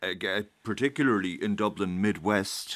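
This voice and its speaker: The speaker has an Irish accent and lively intonation. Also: man. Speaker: political correspondent. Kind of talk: radio studio analysis. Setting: studio.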